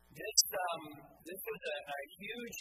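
Noticeable background noise accompanies a man speaking at a fairly slow pace. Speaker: pastor. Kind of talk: sermon. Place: church.

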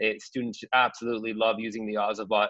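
With a Canadian accent, a man talks at a fairly quick pace in a dry sound with no echo. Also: quiet background. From Canada. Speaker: school digital literacy coach. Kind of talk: webinar presentation. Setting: video call from home. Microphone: video call.

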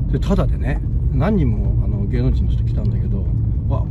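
The speech moves at a fairly quick pace over loud background noise, the sound dry with no echo. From Shizuoka, Japan. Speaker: video blogger filming city walk. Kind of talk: casual walking vlog narration. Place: car. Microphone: phone near.

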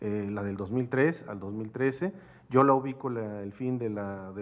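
With a Mexican accent, a man speaks at a medium pitch with ordinary pitch variation. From Mexico. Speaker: researcher presenting paper; speaker. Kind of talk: academic seminar. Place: hall. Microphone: podium.

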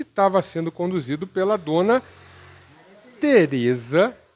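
A man talks at a high pitch. His pitch swings very widely. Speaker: radio reporter. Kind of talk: news interview questions. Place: home room.

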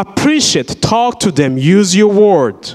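This man talks at a fairly slow pace in a high pitch, with lively intonation. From Burundi. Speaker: surgical worker and invited speaker; speaker. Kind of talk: inspirational talk to school students. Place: church. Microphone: handheld.

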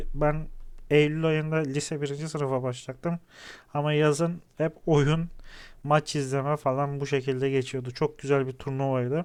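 The man's fairly high voice stays monotone and flat as he talks at a moderate pace. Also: quiet background. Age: 30s. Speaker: gaming YouTuber. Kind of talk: gameplay commentary.

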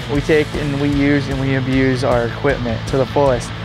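A man talks at a fairly quick pace over clear background music, the sound dry with no echo. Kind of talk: casual tour commentary. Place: garage.

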